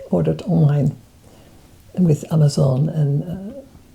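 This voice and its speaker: At a very slow pace and with ordinary pitch variation, the voice comes through noticeable background noise. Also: woman. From Netherlands. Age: 80s+. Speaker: spiritual teacher. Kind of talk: casual chat. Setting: at home.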